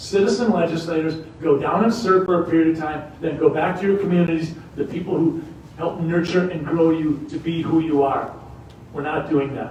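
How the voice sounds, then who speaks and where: A man with an American accent and a high pitch, fairly quick and fairly even, with noticeable background noise and audible room echo. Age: 60s. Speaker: political candidate and family doctor. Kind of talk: campaign speech. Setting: university event with audience.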